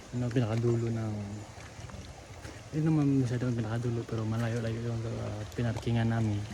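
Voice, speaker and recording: Amid audible room echo and noticeable background noise, a man talks at a fairly quick pace. His medium-pitched delivery is monotone and flat. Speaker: vlogger. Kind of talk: casual vlog narration. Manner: halting; soft-spoken.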